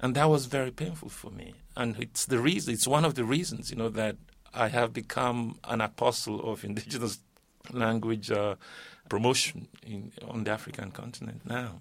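A medium-pitched man's voice with vocal fry, ordinary pitch variation and a moderate pace. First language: Yoruba. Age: 50s. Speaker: linguist and poet. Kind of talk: panel discussion. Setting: studio.

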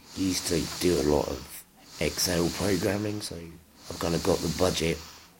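A man with a very deep, low pitch and ordinary pitch variation speaks at a fairly slow pace, with audible room echo and noticeable background noise. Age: 20s. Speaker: person with muscular dystrophy using a health budget. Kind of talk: casual interview testimony. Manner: hesitant with many fillers.

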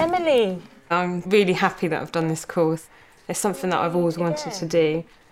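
A woman's plain, everyday voice, fairly low in pitch, fairly even in intonation and at a fairly quick pace. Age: 20s. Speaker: student and classroom assistant. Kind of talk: testimony.

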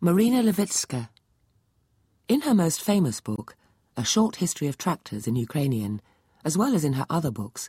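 A woman with a dark, mellow, somewhat breathy tone speaks at a moderate pace with very wide pitch swings, the sound dry and close with no echo in a very clean recording with a silent background. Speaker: narrator presenter. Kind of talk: scripted narration.

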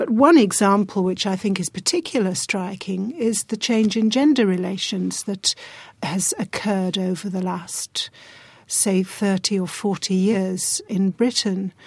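A woman with a medium pitch and a somewhat breathy voice talks at a fairly slow pace with ordinary pitch variation, in a very clean recording with a silent background and a dry, close sound with no echo. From England. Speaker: psychology professor. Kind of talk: academic discussion.

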